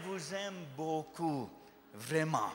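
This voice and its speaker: Noticeable background noise and audible room echo around a man's voice. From USA. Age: 40s. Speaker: visiting pastor. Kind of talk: sermon. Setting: church with congregation. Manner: halting, self-correcting French.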